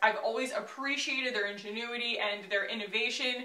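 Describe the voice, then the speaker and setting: A woman with a high pitch speaks over noticeable background noise, with audible room echo. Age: 30s. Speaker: beauty YouTuber. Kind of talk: makeup tutorial and product review. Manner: animated.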